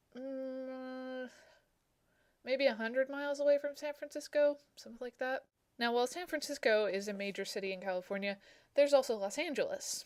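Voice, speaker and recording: A high-pitched woman sounds nervous, with ordinary pitch variation and big swings in loudness. She leaves long, frequent pauses. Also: moderate pace. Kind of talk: casual talk to camera.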